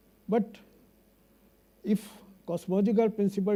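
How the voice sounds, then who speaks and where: Speaking at a moderate pace, a man with a Punjabi accent has a dark, mellow tone. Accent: Indian English, Punjabi. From India, Punjabi-speaking. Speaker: astrophysicist. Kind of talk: conference talk. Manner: halting.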